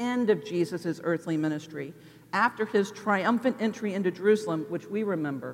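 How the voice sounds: The reading comes in a natural reading voice whose pitch varies in an ordinary way.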